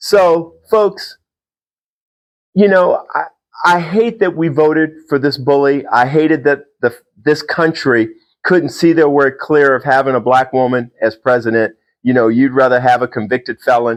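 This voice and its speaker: In an ordinary speaking voice, a man with a fairly high pitch talks at a fairly slow pace, with ordinary pitch variation and very even loudness. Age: 60s. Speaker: political commentator. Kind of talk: casual monologue.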